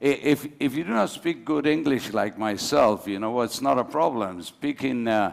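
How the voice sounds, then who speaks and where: A man speaks at a moderate pace with a Spanish accent. His pitch is medium, with ordinary pitch variation. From Argentina. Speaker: panel moderator. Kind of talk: panel discussion. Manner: animated.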